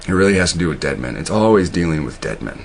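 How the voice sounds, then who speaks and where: A man speaks fairly quickly, with noticeable background noise behind him. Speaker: online video host. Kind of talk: casual monologue. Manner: halting, many fillers and repeats; stutters when reading.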